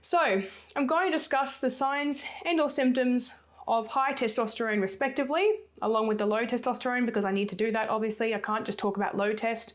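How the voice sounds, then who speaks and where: Pitched fairly high, a woman talks at a fairly quick pace with ordinary pitch variation and very even loudness. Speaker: sports nutritionist and fitness coach. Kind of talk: solo podcast talk. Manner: fast.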